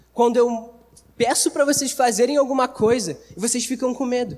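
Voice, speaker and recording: A man at an extremely high pitch, fairly quick in pace, over noticeable background noise. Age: 20s. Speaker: youth preacher. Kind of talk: sermon. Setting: church service with audience. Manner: casual, slangy.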